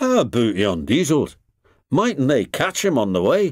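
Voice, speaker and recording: In a gruff, put-on character voice at a medium pitch, a man speaks at a moderate pace in a very clean recording with a silent background. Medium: read story.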